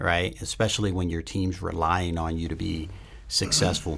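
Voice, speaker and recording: A man speaks with vocal fry at a very deep, low pitch and a fairly slow pace. The recording is very clean, with a silent background. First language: not English. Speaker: special forces soldier. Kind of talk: casual chat.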